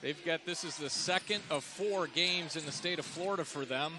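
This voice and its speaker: There is noticeable background noise as a man speaks at a moderate pace, pitched high, with ordinary pitch variation. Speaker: play-by-play announcer. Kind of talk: live commentary. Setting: arena broadcast.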